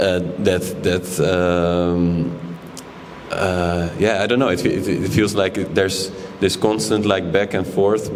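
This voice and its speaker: Amid noticeable background noise and audible room echo, a man with a very deep, low pitch speaks at a fairly slow pace. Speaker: exhibiting artist. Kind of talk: panel discussion. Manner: halting, many fillers and repetitions.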